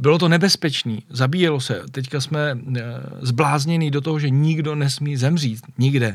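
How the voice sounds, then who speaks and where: Here a man talks at a moderate pace with a fairly high pitch. His pitch varies in an ordinary way. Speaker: motoring podcast host. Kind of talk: casual interview.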